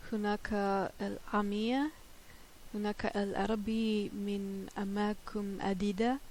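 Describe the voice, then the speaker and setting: A woman with a German accent talks at a very slow pace in a fairly high pitch. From Germany. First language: German (speaking Dutch). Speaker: polyglot language learner. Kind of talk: multilingual tips talk. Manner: halting, many filler hesitations.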